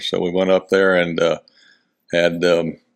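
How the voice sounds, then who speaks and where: Against a quiet background, a man with a Texan accent speaks in a very deep, low pitch and a monotone, flat intonation. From Houston, Texas. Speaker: rodeo volunteer and philanthropist. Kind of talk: interview answer.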